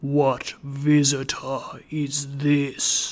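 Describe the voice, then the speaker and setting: A man puts on a character voice. His pitch sits fairly high. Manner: ominous, questioning.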